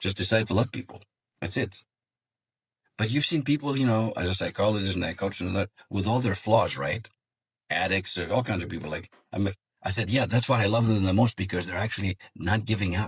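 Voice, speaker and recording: A man with a Greek accent talks at a fairly quick pace in a fairly low pitch. His voice is somewhat breathy, with ordinary pitch variation. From Greece. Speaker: psychologist and executive coach. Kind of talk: interview.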